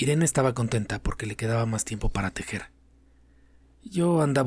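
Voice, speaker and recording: A somewhat breathy man talks at a fairly quick pace with ordinary pitch variation. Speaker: narrator. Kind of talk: audiobook story reading.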